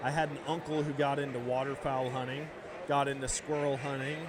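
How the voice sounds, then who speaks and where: Amid noticeable background noise and audible room echo, a man speaks with an American accent at a fairly high pitch. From central Wisconsin, near Eau Claire. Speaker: hunter, podcast guest. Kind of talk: casual chat. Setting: live at a convention show. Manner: animated.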